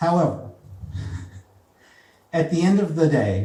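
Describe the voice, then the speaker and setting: A man with a dark, mellow tone sounds somewhat breathy as he speaks at a moderate pace with lively intonation. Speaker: spoken word comedy poet. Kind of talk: live comedy poetry slam performance. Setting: live venue with audience.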